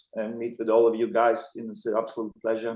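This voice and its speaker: A man with a non-native accent talks at a moderate pace in a medium pitch. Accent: noticeable foreign. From Montenegro. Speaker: filmmaker. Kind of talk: interview. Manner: halting.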